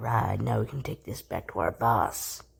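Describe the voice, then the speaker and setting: Raspy and low-pitched, the cartoonish character voice moves at a moderate pace. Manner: crude, profane.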